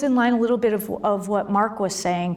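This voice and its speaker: A woman with an American accent at a fairly quick pace, with audible room echo and noticeable background noise. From US Midwest, Cleveland suburb. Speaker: government program director. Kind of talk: conference presentation.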